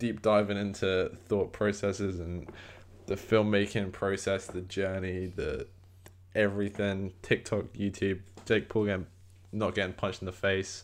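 Over a very clean recording with a silent background, a man with a fairly low pitch speaks at a moderate pace in a monotone, flat intonation. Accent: British. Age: 20s. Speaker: podcast host and film student. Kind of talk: casual chat.

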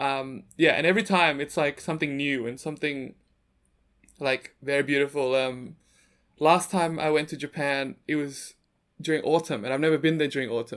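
A man with an Australian accent talks at a fairly high pitch. The recording is very clean, with a silent background. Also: fairly even intonation, moderate pace. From Sydney, Australia. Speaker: photographer and content creator. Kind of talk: interview.

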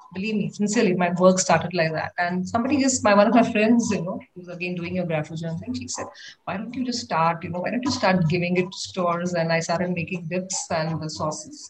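Over noticeable background noise, a woman with a fairly low pitch speaks at a fairly quick pace with lively intonation and hardly any pauses. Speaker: homemaker and NGO volunteer teacher. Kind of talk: casual chat.

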